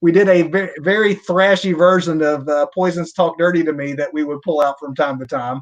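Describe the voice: Here a man speaks at a fairly quick pace and fairly high pitch. His intonation is fairly even.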